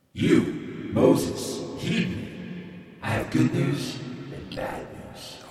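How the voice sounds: A man puts on a character voice, raspy and at a medium pitch, in a very slow delivery. A strong echo surrounds it.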